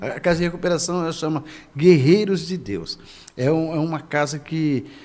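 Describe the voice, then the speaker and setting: A man's fairly high-pitched voice at a moderate pace, with audible room echo. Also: ordinary pitch variation. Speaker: pastor. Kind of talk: casual chat. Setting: church. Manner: halting.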